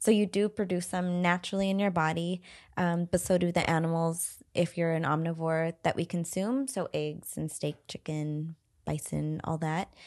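Against a quiet background, a woman speaks at a moderate pace with a fairly low pitch. She has an unremarkable speaking voice. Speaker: fitness podcast co-host. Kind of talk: casual chat. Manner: giggly, laughs often.

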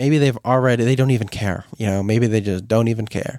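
In a dry, close recording with no echo and a silent, very clean background, a man speaks at a medium pitch with ordinary pitch variation. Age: 20s. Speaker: podcast host. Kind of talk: solo monologue. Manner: reflective, hesitant.

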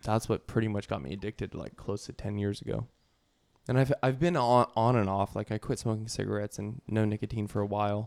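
In a normal speaking voice, a man talks at a fairly quick pace and a fairly low pitch with ordinary pitch variation, on a very clean recording with a silent background and a dry, close sound with no echo. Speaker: podcast host. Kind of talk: casual banter.

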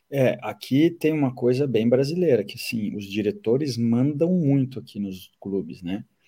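At a moderate pace with hardly any pauses, a man with a dark, mellow tone and medium pitch uses lively intonation and big swings in loudness. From southern Brazil, Caxias do Sul. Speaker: football fitness coach. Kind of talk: casual interview. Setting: remote call from abroad.

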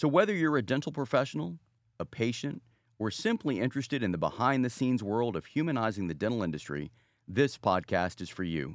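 A man's medium-pitched voice with vocal fry and very wide pitch swings, fairly quick in pace, on a very clean recording with a silent background. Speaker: trailer announcer. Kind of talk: scripted promo narration.

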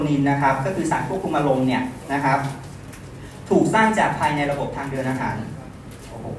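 A man's fairly high voice, with ordinary pitch variation, comes through noticeable background noise and audible room echo. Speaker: sales manager. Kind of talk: sales pitch.

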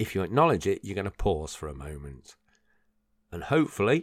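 A man's very deep, low voice with vocal fry and lively intonation at a moderate pace. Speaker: personal development podcaster. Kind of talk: solo podcast monologue. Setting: home recording at a microphone. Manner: rambling, with filler words.

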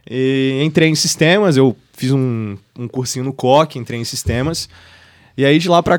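A man speaks at a fairly high pitch. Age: 20s. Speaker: university student and entrepreneur. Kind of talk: casual chat.

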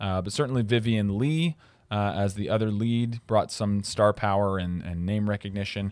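At a moderate pace, a man talks in a normal speaking voice, fairly low in pitch, with ordinary pitch variation. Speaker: podcast host. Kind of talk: casual chat.

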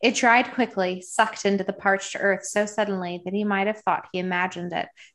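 Here is an unforced reading voice. Its intonation is fairly even.

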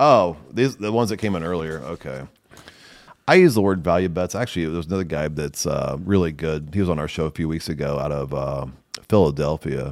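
A man with an American accent talks at a fairly quick pace. His voice sits very deep and low, with vocal fry. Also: ordinary pitch variation, very clean recording, silent background. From Nebraska. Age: 50s. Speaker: podcast host. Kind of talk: casual chat.

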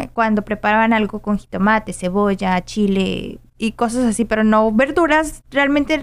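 A woman with a fairly high pitch talks in a western Mexican accent. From Mexico, Guadalajara, Jalisco. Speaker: podcast host. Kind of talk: casual interview chat.

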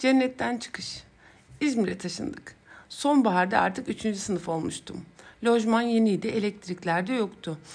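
Pitch moves in an ordinary way at a moderate pace. The voice is somewhat breathy. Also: woman, fairly high pitch for a woman. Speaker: psychologist podcast host. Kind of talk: personal storytelling monologue.

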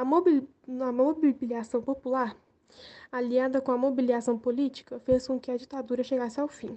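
A woman speaks in a high pitch with monotone, flat intonation. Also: moderate pace. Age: 80s+. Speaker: witness of the dictatorship era. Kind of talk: testimony.

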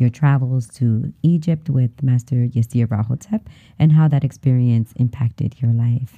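A woman with a very deep, low pitch and a dark, mellow tone sounds somewhat breathy, with ordinary pitch variation and a dry, close sound with no echo. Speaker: podcast host.

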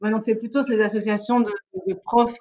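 A woman talks at a medium pitch. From Belgium, Liège. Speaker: interview guest sharing personal story. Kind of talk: casual interview chat. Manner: hesitant, many fillers and repetitions.

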